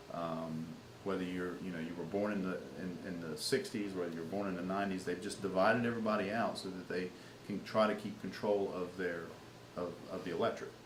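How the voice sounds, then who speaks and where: Noticeable background noise and audible room echo surround a man with a very deep, low pitch. He talks at a fairly quick pace with fairly even intonation. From Louisiana. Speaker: political campaign manager. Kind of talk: interview. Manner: halting, many repeated words.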